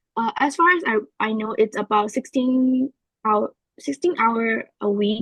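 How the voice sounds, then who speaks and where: A woman's voice sits at a fairly high pitch and sounds somewhat breathy. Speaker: polytechnic student. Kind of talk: interview answers.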